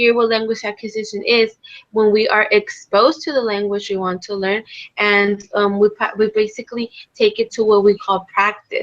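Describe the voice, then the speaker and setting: At a moderate pace, a woman with a Spanish accent speaks in a fairly high pitch with fairly even intonation. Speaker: English language teaching student. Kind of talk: academic discussion. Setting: live-streamed video call. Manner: halting, many fillers.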